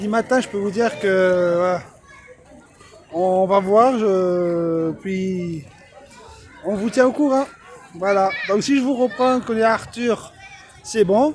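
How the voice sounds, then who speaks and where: Noticeable background noise accompanies a man with a high pitch and ordinary pitch variation. He speaks at a very slow pace with long, frequent pauses. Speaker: vlogger. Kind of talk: casual vlog narration. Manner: hesitant, many fillers.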